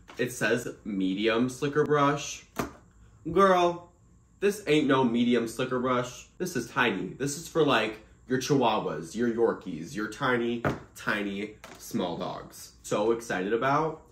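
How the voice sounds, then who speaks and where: Amid light background noise and audible room echo, a man talks at a fairly slow pace. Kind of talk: casual vlog chat. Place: home room. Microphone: phone near.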